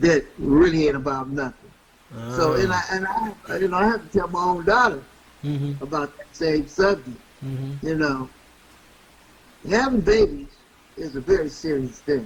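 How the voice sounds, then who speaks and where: A man at a moderate pace, fairly high in pitch with lively intonation, over noticeable background noise. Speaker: radio host. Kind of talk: interview answer.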